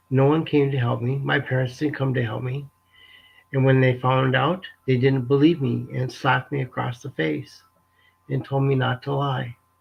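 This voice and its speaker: A somewhat breathy man's voice at a medium pitch, moderate in pace with fairly even intonation and long, frequent pauses. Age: 60s. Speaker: abuse survivor sharing his story. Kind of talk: testimony. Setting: live webinar. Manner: halting, emotional.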